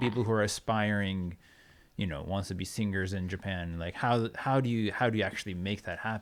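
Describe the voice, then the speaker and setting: A man talks at a fairly quick pace with a fairly low pitch. The recording is very clean, with a silent background. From Oregon, USA. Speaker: podcast host and producer. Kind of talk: podcast interview questions. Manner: casual, animated.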